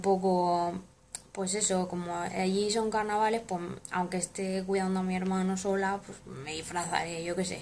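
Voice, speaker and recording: A woman's monotone, flat delivery at a moderate pace over light background noise. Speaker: vlogger. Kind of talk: casual vlog chat. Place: home room. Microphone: phone near.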